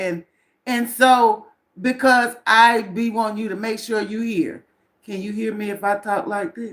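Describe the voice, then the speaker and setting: In an animated tone, a woman talks fairly slowly at a fairly high pitch. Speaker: self-help vlogger. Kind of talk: live stream chat. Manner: loud.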